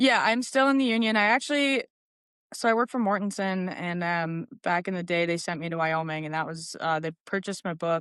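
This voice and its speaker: A woman's medium-pitched voice, fairly quick and lively in intonation, over a quiet background. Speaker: heavy equipment operator and construction foreman. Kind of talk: casual interview chat. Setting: studio. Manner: loud; halting, many fillers.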